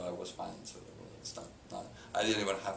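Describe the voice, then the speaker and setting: A man with a Catalan accent, amid noticeable background noise and audible room echo. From Spain, Barcelona (Catalonia). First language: Spanish. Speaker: business executive. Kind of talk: interview. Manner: halting, many fillers.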